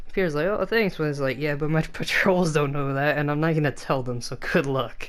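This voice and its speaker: Noticeable noise sits in the background. The talking is fairly quick. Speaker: gaming YouTuber. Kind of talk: gameplay commentary. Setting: bedroom at home. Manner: quiet late-night talk.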